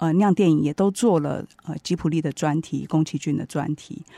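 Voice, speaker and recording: A woman with a very deep, low pitch speaks at a moderate pace in a Taiwanese accent, with a dark, mellow tone and ordinary pitch variation. The sound is dry and close with no echo, over a quiet background. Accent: Taiwanese Mandarin. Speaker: radio host and book editor. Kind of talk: book review talk. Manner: frequent fillers and hesitations.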